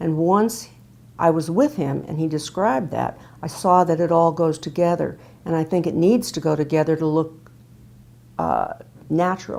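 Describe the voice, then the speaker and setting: A woman's dark, mellow voice, fairly low in pitch, with vocal fry, a moderate pace and long, frequent pauses. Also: ordinary pitch variation. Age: 70s. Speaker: patient giving testimonial, retired speech pathologist. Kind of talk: testimony.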